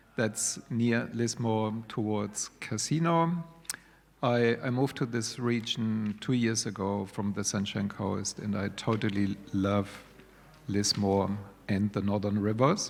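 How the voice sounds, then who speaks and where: A man talks very slowly with a German accent. His pitch is fairly low, with ordinary variation. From Germany. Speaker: digital media course coordinator. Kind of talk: panel discussion.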